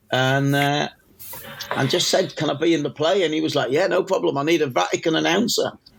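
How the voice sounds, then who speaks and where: Amid noticeable background noise, a man talks at a very fast pace with a fairly high pitch. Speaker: music journalist. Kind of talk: podcast interview answer.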